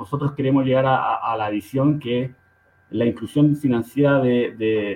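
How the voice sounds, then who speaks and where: A man with a medium-pitched voice and fairly even intonation speaks in a Chilean accent. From Santiago, Chile (Conchalí, north Santiago). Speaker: fintech co-founder. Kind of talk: interview. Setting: studio. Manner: halting.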